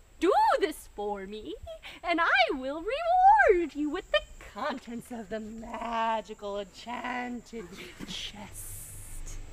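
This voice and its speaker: Speaking at a very slow pace, a woman uses a high pitch. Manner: melodramatic, pleading then vengeful.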